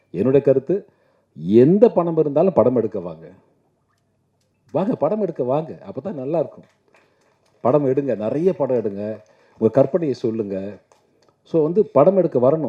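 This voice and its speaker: With big swings in loudness and very wide pitch swings, a man speaks at a fairly high pitch. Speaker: film actor. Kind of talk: speech at a film audio launch event.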